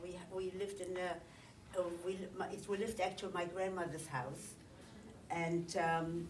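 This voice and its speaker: A woman speaks at a medium pitch and a fairly quick pace. Audible room echo and noticeable background noise come through. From Poland. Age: 80s+. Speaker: Holocaust survivor. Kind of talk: testimony. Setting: recorded interview. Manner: halting.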